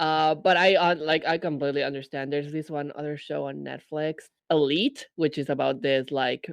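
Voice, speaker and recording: Against a quiet background, the speaker talks at a moderate pace with a Spanish accent. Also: man. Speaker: podcast co-host. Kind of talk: casual chat.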